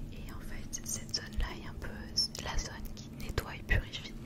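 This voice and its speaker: A whispering woman at a fairly slow pace, with noticeable background noise. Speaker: ASMR creator. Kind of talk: ASMR whispered wellness talk. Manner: whispered, soft, slow.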